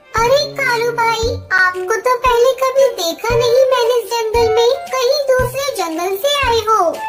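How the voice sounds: A cartoonish character voice, female-sounding and extremely high in pitch, moves at a fairly slow pace over clear music in the background.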